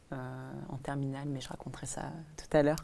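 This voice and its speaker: This woman's voice is very deep and low in pitch, with a dark, mellow tone. Her intonation is monotone and flat. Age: 20s. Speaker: design student and collage artist. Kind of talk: casual chat. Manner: hesitant, many fillers.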